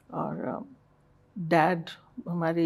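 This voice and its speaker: The woman's voice carries a dark, mellow tone. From Jaipur, Rajasthan, India (born in Burma). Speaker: hospital managing director. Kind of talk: interview.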